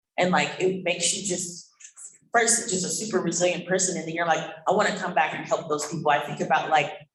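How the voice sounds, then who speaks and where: In an American accent, a man talks at a very fast pace and a high pitch. His intonation is fairly even, and there is audible room echo. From Oakland, California. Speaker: panelist. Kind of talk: panel discussion.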